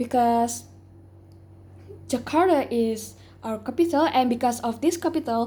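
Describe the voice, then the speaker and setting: A woman with an Indonesian accent speaks at a high pitch with ordinary variation. Her tone is dark and mellow, and her pace is very slow. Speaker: English learner in speaking test. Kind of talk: oral exam interview. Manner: halting, many fillers.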